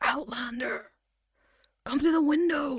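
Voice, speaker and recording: At a fairly slow pace, someone talks in a raspy, put-on character voice. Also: woman. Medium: actual play. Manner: friendly, composed.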